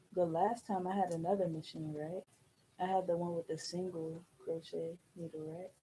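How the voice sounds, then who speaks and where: Somewhat breathy and fairly low in pitch, a woman speaks at a moderate pace with fairly even intonation. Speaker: loctician. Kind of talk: casual chat. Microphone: far from the mic.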